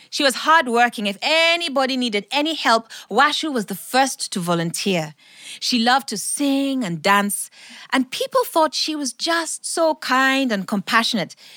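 A woman's raised, projected voice, high in pitch, bright and sharp, animated and dramatic, with very wide pitch swings and a dry, close sound with no echo. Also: moderate pace. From Kenya. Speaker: storyteller. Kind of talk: live storytelling performance. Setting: studio with live audience. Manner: animated, dramatic.

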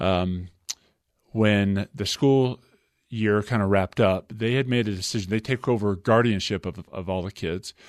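A man with an American accent speaks at a moderate pace in an unremarkable speaking voice, fairly low in pitch. His ordinary pitch variation comes through over a quiet background. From Utah. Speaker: former basketball player. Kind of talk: interview. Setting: studio.

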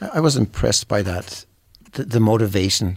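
A man in a German accent speaks at a moderate pace. His voice is somewhat breathy, in a very clean recording with a silent background. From Germany. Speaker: youth soccer coach. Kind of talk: panel discussion. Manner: halting, repeats words.

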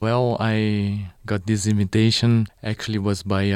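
A Portuguese accent comes through in a dry, close recording with no echo, very clean and with a silent background. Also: man. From Brazil, São Paulo state. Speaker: violinist and conductor. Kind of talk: interview. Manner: halting.

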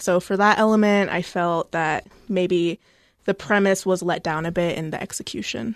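A plain, everyday voice moves at a moderate pace with fairly even intonation, in a dry, close sound with no echo against a quiet background. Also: woman, medium pitch for a woman. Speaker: library staff discussing books. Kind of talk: book discussion chat. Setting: studio.

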